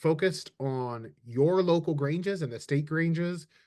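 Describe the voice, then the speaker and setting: A man with a plain, everyday voice and fairly high pitch speaks at a moderate pace with ordinary pitch variation against a quiet background. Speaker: communications director hosting a webinar. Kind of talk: webinar presentation. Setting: video call.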